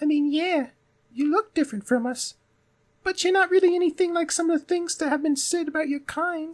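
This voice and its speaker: Putting on a squeaky character voice at an extremely high pitch, a man talks at a fairly quick pace. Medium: game stream. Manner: polite, curious, warm.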